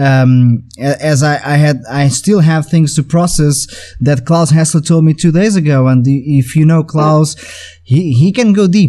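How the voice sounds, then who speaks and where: A man with a Portuguese accent talks at a fairly slow pace in a fairly high voice, with ordinary pitch variation. His loudness stays very even over noticeable background noise. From Portugal. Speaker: podcast host, drummer and music educator. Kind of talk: casual interview conversation. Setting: video call. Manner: halting, many repetitions.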